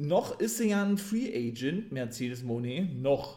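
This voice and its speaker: A man is speaking. His pitch makes very wide swings. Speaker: wrestling podcaster. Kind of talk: wrestling show recap podcast. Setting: home podcast recording. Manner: enthusiastic fan, opinionated, casual; slightly rambling, repeats words.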